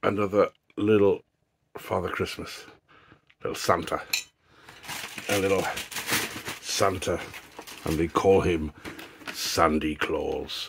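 Through noticeable background noise, a man talks at a fairly slow pace with long, frequent pauses. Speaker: YouTuber doing product reviews. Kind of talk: casual unboxing vlog. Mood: light-hearted, jokey. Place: home room. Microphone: phone near.

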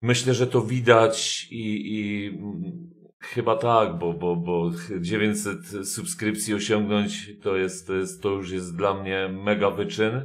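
Against a quiet background, a man with a fairly low pitch and ordinary pitch variation speaks at a very slow pace. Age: 40s. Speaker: gaming YouTuber; gaming streamer. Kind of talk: casual thank-you message to viewers. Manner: halting, many repetitions and fillers. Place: home room.

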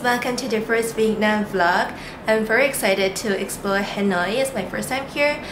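A woman speaks at a moderate pace with ordinary pitch variation, and background noise is noticeable. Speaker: travel vlogger. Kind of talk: casual vlog chat. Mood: excited, cheerful. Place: home room. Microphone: phone near.

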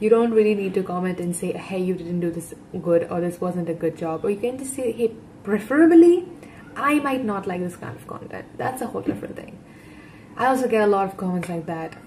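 A woman's voice with ordinary pitch variation over light background noise. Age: 20s. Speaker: YouTube reaction creator; guest. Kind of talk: casual reaction commentary. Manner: animated. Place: home room. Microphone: webcam.

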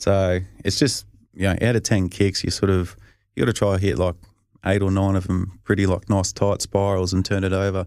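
With an Australian accent, a man talks at a fairly quick pace in a very deep, low pitch, his intonation monotone and flat and his loudness very even, on a very clean recording with a silent background. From Australia, Albury-Wodonga region (Victoria). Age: 30s. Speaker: professional football punter. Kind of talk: casual chat. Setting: studio.

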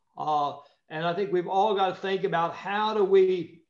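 Someone with an American accent speaks with ordinary pitch variation, with audible room echo and a quiet background. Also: man. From US Midwest. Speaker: former politician. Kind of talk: panel discussion. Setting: forum with live audience. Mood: calm, reflective. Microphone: video call.

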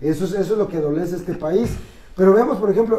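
In a room with audible echo, a man speaks with a high pitch, a dark, mellow tone and ordinary pitch variation. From Mexico. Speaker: political commentator and columnist; political commentator. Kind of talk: casual political debate. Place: studio. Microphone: camera far.

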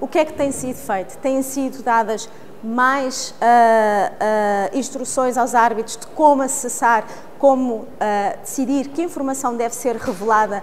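Speaking fairly slowly in a European Portuguese accent, a woman with a fairly high voice and ordinary pitch variation swings widely in loudness over light background noise. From Portugal. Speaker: lawyer, arbitration court official; lawyer. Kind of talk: interview statement. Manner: formal.

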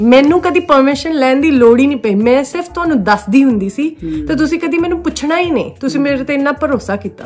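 With faint music in the background, a woman speaks at a high pitch with lively intonation. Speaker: vlogger. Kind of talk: interview questions. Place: home room. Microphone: phone near.

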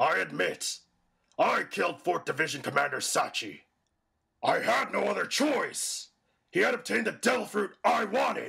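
A man's cartoonish character voice at a moderate pace. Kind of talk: anime fandub acting. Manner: boastful, gloating, laughing.

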